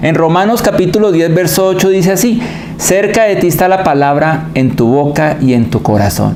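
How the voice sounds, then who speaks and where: Moderate pace over noticeable background noise. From Colombia. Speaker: preacher. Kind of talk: sermon.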